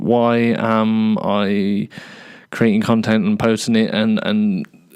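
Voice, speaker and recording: A man with an English Midlands accent and lively intonation. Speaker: podcaster and YouTuber. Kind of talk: casual solo monologue. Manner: halting, many fillers and repeats; fast, ranting without pausing for breath.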